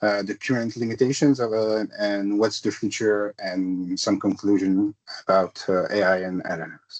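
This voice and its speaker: A man speaks at a moderate pace with a fairly low pitch. His intonation is fairly even, and the sound is dry and close with no echo. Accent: French. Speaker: tech consultant presenter. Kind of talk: technical presentation. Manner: hesitant, many fillers.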